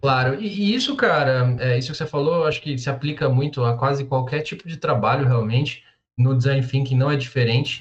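Somewhat breathy, a man with a fairly high voice speaks at a fairly quick pace with ordinary pitch variation. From Brazil, São Paulo. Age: 20s. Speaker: tech professional. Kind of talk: casual chat.

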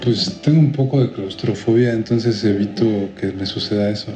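Music plays behind a man who speaks at medium pitch with ordinary pitch variation. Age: 30s. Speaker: video editor. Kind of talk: casual chat.

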